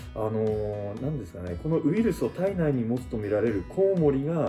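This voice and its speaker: With faint music in the background, a man at a medium pitch speaks at a fairly quick pace with very wide pitch swings. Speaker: YouTuber interviewer. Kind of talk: casual interview questions. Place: home room. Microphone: camera far.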